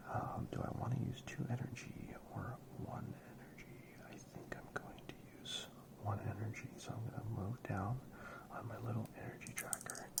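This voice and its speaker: Whispering at a moderate pace amid noticeable background noise. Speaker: ASMR creator playing tabletop RPG. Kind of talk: solo RPG playthrough narration. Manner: whispered.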